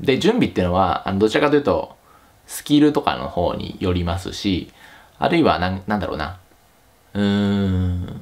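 A man with a fairly low pitch speaks with very wide pitch swings and big swings in loudness. Long, frequent pauses break up his speech. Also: moderate pace. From Japan. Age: 30s. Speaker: YouTube career advice host; career advice channel host. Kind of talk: casual vlog talk to camera; casual vlog chat. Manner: casual, with many fillers. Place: home room.

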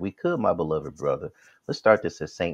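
Over a quiet background, a man speaks with an American accent. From US South, Atlanta; US South. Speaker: Bible study teacher. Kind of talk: Bible study teaching. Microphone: earbuds.

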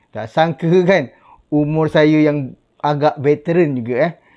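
In a quiet background, a man speaks at a fairly slow pace with a dark, mellow tone. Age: 40s. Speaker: YouTuber. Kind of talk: casual vlog talk to camera.

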